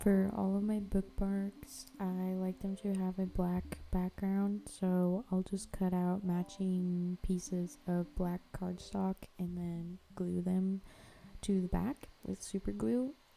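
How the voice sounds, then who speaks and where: A woman mumbles at a very slow pace in a medium pitch with fairly even intonation. Her tone is dark, mellow and somewhat breathy. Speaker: artist, art vlogger. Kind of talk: casual chat to camera while crafting. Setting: home art studio. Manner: casual, filler-heavy, says um a lot; mumbling, poor enunciation.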